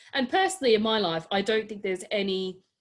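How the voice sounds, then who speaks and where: On a very clean recording with a silent background, a woman talks in an Australian accent, her pitch varying in an ordinary way. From Adelaide, South Australia. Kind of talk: interview answer.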